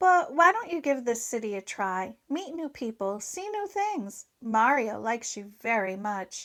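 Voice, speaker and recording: In a put-on character voice, a woman speaks high and squeaky. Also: moderate pace, hardly any pauses. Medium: read story. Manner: slangy, breezy.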